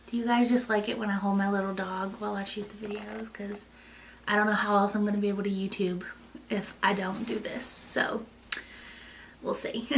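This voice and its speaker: A woman in a Kentucky accent at a fairly quick pace with long, frequent pauses, amid noticeable background noise and audible room echo. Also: medium pitch for a woman. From US South, Eastern Kentucky. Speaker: lifestyle vlogger. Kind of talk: casual chat. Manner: animated.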